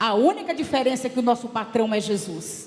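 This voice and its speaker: Female speech at a moderate pace amid noticeable background noise. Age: 60s. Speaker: church delegate, former education secretary. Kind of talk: assembly speech. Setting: church council plenary. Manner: impassioned.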